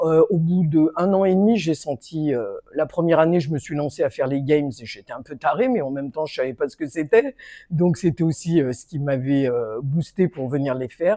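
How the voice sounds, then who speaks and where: In a very clean recording with a silent background, a woman speaks at a moderate pace. Her voice is very deep and low, dark and mellow, with lively intonation. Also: big swings in loudness. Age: 60s. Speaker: gym member. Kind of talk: testimony.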